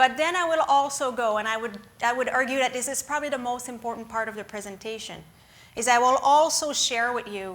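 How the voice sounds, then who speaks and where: A woman speaks with a French accent at a fairly high pitch. Her pitch variation is ordinary. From Quebec, small town of Lac-Mégantic. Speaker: guest lecturer, former emergency management official. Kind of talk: lecture. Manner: somewhat rushed; hesitant, many fillers.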